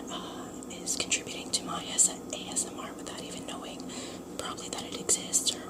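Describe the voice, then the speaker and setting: A woman is whispering at a moderate pace. Noticeable background noise is present. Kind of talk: casual talk to camera. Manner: whispered.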